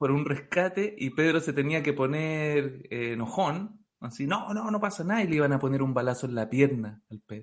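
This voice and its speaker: A man talks in a Chilean accent. His intonation is lively. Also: fairly high pitch for a man, moderate pace. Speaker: comedian. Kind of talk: casual chat.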